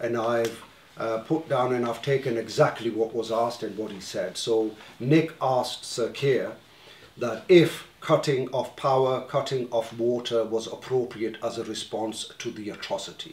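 A man with a medium pitch talks at a moderate pace with fairly even intonation, and room echo is audible. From northern England (Leeds); northern England. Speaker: community organization officer chairing meeting; meeting moderator. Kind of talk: community meeting chairing. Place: meeting room. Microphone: camera far.

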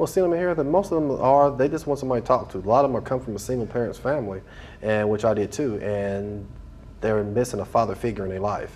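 A man speaks at a very fast pace with lively intonation. Light background noise is present. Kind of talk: interview answer. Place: hall.

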